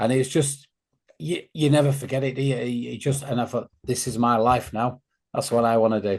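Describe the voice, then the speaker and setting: Speaking with a Greater Manchester accent, a man uses a medium pitch. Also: ordinary pitch variation, fairly quick pace. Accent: local Stockport accent, obvious. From northern England, Stockport. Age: 50s. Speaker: football fan podcaster. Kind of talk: casual chat.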